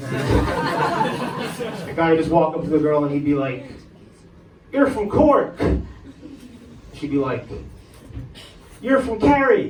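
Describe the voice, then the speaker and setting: A man with an American accent and a fairly high pitch, very wide pitch swings, a very slow pace and long, frequent pauses, plus audible room echo and noticeable background noise. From Ireland, Dublin. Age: 20s. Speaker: stand-up comedian. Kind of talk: stand-up. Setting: comedy club stage with audience. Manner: halting, filler words.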